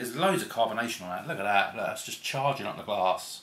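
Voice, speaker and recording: A man speaks at a fairly quick pace with an English accent. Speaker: beer reviewer. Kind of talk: casual video review.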